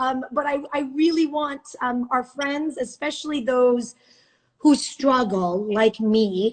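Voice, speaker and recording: The woman talks very slowly, her high voice rising and falling in an ordinary way. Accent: Iranian. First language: Farsi. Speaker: news anchor. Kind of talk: casual chat. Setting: video call.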